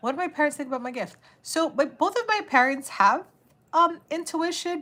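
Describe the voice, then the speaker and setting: A woman with an American accent, animated and bright, sharp in tone, at a moderate pace. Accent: noticeable accent per viewer. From New York City. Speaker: tarot reader. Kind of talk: live stream chat. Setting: live stream.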